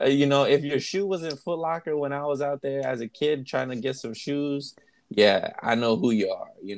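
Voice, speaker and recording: A man with an American accent, fairly high pitch, ordinary pitch variation, a moderate pace, and big swings in loudness. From Texas. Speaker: podcast host. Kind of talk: casual chat. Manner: animated.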